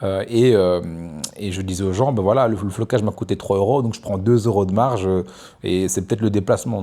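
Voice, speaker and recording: In a very clean recording with a silent background, a man with a dark, mellow tone and fairly low pitch talks at a moderate pace. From Belgium (Namur, Brussels). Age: 30s. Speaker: entrepreneur vlogger. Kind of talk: casual monologue vlog. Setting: outdoors on a beach. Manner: hesitant, many fillers.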